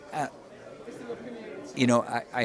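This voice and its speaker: Someone with an American accent speaks at a moderate pace while crowd noise fills the background. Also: man. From United States. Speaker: ring announcer. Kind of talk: interview answer.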